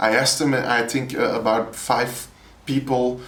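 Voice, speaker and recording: A man speaks with a Flemish accent. His pace is moderate. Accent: Flemish Dutch. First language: Dutch. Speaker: poet and educator. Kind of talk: interview. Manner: halting, with repetitions and hesitations.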